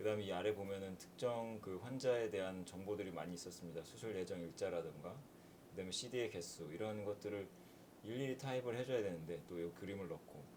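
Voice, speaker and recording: A man speaks very fast at a fairly low pitch, with ordinary pitch variation. Audible room echo and noticeable background noise run through the clip. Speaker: medical physicist teaching programming. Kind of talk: lecture. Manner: frequent filler hesitations.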